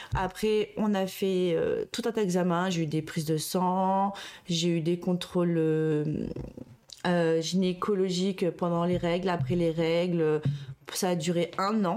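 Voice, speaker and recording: Over a very clean recording with a silent background, a woman speaks very slowly at a fairly low pitch, her tone dark and mellow, her intonation fairly even and her loudness very even. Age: 30s. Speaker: childcare worker and mother. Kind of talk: interview testimony. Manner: halting, many fillers.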